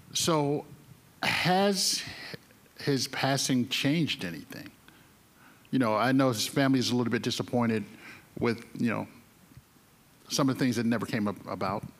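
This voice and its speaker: A medium-pitched man with an American accent, at a moderate pace with lively intonation and long, frequent pauses. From North Carolina. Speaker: newspaper reporter, moderator; moderator. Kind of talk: onstage interview. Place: stage. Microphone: handheld.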